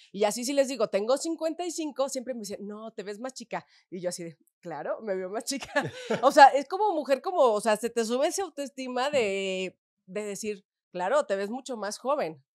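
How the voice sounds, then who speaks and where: A woman speaks at a moderate pace over a quiet background. Her high pitch swings very widely, and her loudness varies a lot. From Mexico, León, Guanajuato; Guanajuato, Mexico. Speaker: adult content creator. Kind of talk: interview. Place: studio. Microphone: studio mic.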